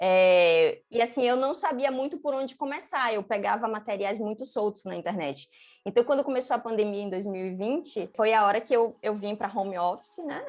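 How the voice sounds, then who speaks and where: Hardly pausing at all, a woman talks at a moderate pace with lively intonation and a fairly high pitch. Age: 30s. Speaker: UX designer, former marketing professional. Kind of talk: interview. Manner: hesitant, many filler sounds.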